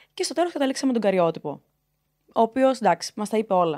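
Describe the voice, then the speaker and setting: A woman's lively intonation against a quiet background. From Crete, Heraklion; Crete, Greece. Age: 20s. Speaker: intersex advocate; podcast guest. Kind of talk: interview. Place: studio. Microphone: studio mic.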